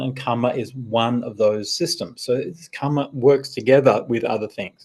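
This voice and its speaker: The speaker is a man with an Australian accent. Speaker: Buddhist monk. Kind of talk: dharma talk with Q&A. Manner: hesitant, repeats words.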